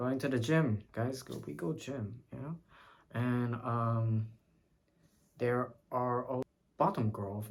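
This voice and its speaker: A man's somewhat breathy voice at medium pitch. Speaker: vlogger. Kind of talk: casual chat. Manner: halting.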